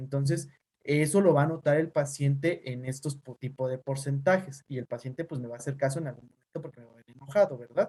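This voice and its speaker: Talking at a very fast pace, a man with a fairly high voice makes big swings in loudness. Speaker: teacher and physician. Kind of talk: online class lecture. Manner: neutral tone.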